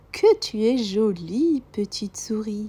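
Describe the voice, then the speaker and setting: A woman puts on a character voice, pitched fairly high and delivered at a fairly slow pace. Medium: read story.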